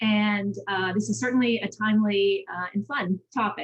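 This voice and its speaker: A somewhat breathy woman with an American accent speaks with ordinary pitch variation. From Massachusetts, Boston area. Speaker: government relations consultant. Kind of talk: panel talk, personal story.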